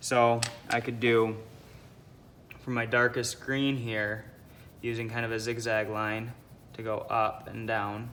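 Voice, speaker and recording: Audible room echo follows a man's bright, sharp, medium-pitched voice as he speaks at a very slow pace. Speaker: art teacher. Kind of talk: tutorial.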